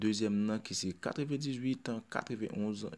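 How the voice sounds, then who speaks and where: A man speaks with a Haitian accent at a fairly low pitch. His intonation stays fairly even. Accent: Haitian Creole speaker. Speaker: bingo number caller. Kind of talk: bingo number calling.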